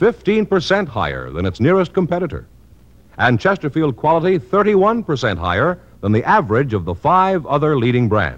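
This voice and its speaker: Vocal fry runs through a man's voice with very wide pitch swings. The pace is moderate. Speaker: radio announcer. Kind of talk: scripted announcement and commercial reading. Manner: formal, authoritative.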